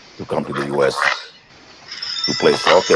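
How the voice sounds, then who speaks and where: Noticeable background noise surrounds a man who speaks at a fairly quick pace. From Kenya (Kisumu). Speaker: soccer coach. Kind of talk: casual talk. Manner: halting.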